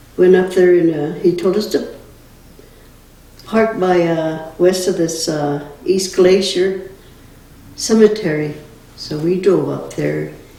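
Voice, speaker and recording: A woman's fairly low-pitched voice with an American accent, audible room echo and noticeable background noise. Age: 80s+. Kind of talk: storytelling interview.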